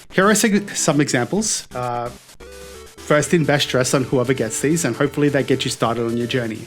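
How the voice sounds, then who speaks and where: A man speaks with an Australian accent and ordinary pitch variation. Music plays in the background. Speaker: card game judge. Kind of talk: casual talk to camera. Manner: hesitant, some stuttering and slurred words.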